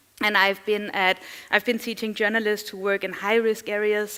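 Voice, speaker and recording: This woman has a Danish accent and a medium pitch. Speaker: journalist and digital security trainer. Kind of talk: conference talk. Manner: fast.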